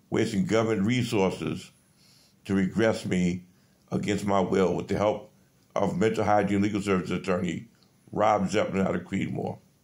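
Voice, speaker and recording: Against a quiet background, a man with a fairly low pitch and ordinary pitch variation talks at a moderate pace, leaving long, frequent pauses. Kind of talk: casual selfie monologue, complaint. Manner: weak, flat voice lying in bed. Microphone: phone near.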